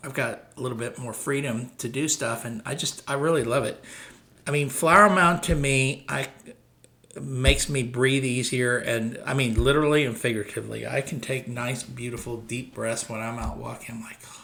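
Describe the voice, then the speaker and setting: With an American accent, a man speaks at a moderate pace in a bright, sharp tone with vocal fry and big swings in loudness. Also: medium pitch for a man, ordinary pitch variation. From Dallas, Texas. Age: 60s. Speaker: real estate broker. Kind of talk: casual talk to camera. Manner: conversational, hesitant fillers.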